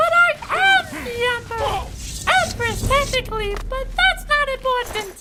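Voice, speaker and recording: An extremely high, female-sounding voice puts on a character act at a moderate pace. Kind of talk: comedic let's play commentary in character.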